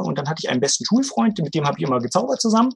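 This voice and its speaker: A man talks in a voice that sits high for a male speaker. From Brandenburg, Germany (Bernau near Berlin). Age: 40s. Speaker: magician and magic theater owner. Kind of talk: casual podcast interview.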